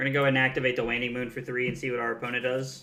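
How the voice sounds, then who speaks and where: A man with a medium pitch speaks with an American accent. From US South. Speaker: card game streamer. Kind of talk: live gameplay commentary. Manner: casual, conversational.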